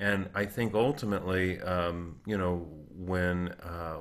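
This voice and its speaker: This man, with an American accent, has a very deep, low voice and a fairly even intonation. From US South, South Florida (Boca Raton). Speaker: ice cream business founder and podcast co-host. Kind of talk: casual chat. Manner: halting, many fillers.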